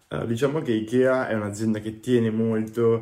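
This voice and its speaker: A man speaks in a flat monotone. His tone is dark and mellow. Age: 20s. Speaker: product designer. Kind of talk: interview.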